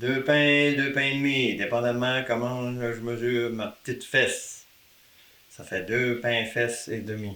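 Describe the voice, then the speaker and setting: A man talks at a very slow pace with a medium pitch and fairly even intonation. Noticeable background noise sits behind him. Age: 70s. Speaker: retiree. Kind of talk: casual chat.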